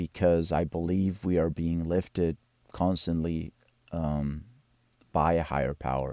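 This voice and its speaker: On a very clean, silent recording with a dry, close sound and no echo, a man with a Spanish accent speaks very slowly in a very deep, low, dark and mellow voice. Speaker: composer. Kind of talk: video walkthrough of own work. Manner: halting, with many fillers and repetitions.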